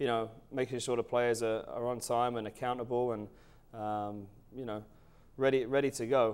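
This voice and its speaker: A man with an English accent at medium pitch, in monotone, flat intonation, at a moderate pace with long, frequent pauses. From England. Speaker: college soccer coach. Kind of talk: interview. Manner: hesitant, many fillers.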